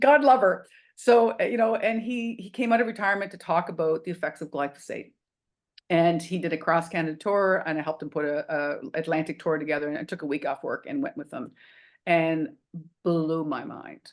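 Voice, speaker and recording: Against a quiet background, a woman speaks fairly quickly in a fairly low pitch, with lively intonation and big swings in loudness. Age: 60s. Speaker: restaurant owner. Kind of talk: interview. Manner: animated.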